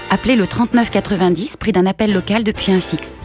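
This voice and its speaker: With music in the background, a woman of medium pitch speaks at a moderate pace in an upbeat tone. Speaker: voice actor. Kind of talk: TV commercial read. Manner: upbeat, smiling.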